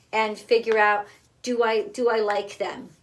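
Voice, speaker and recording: The voice belongs to a woman with a fairly high pitch. She talks at a fairly slow speed. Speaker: tarot reader. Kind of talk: tarot card reading. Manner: halting; casual.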